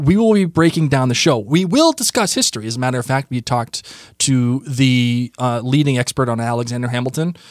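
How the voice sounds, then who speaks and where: In a very clean recording with a silent background, a man with an American accent speaks at a fairly quick pace in a medium pitch, with ordinary pitch variation. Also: dry, close sound with no echo. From Massachusetts. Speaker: podcast co-host. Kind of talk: casual chat. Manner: hesitant, many fillers.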